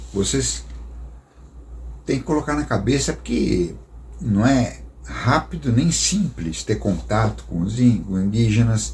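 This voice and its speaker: A man's fairly low voice with very wide pitch swings, at a fairly slow pace. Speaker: missionary storyteller. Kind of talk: storytelling talk. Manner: casual, conversational.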